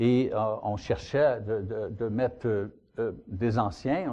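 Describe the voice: At a fairly slow pace, the voice has a slightly mellow tone and ordinary pitch variation. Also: man.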